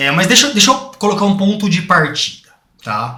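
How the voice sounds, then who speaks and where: A man talks at a moderate pace, and audible room echo surrounds his voice. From Brazil, interior of São Paulo (Bauru). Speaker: podcast host. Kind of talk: podcast interview.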